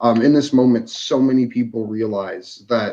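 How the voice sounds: It's a natural reading voice. Pitch variation is ordinary.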